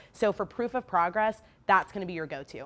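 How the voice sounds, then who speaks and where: The pitch varies in an ordinary way. The recording is very clean, with a silent background. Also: woman. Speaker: teacher. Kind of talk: information session for parents. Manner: fast.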